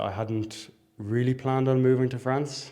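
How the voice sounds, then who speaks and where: A man in a Dublin accent talks with a dark, mellow tone and fairly even intonation. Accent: Dublin Irish. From Ireland, Dublin. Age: 20s. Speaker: university student. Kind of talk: interview.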